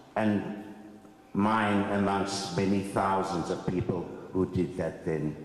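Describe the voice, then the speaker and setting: A man talks very slowly in a fairly low pitch, with monotone, flat intonation and very even loudness. Noticeable background noise and audible room echo surround him. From South Africa, Cape Town (District Six). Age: 70s. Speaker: former resident and land claimant. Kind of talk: testimony.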